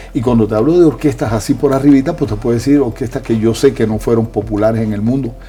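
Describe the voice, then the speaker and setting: Over noticeable background noise, a man with a Cuban accent speaks at a very fast pace with a medium pitch and ordinary pitch variation. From Cuba, rural sugar-mill town. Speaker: musician and author. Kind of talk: interview. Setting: live video stream.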